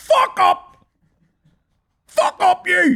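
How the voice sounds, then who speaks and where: A man speaks in a put-on character voice. His pitch is extremely high. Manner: aggressive, shouting.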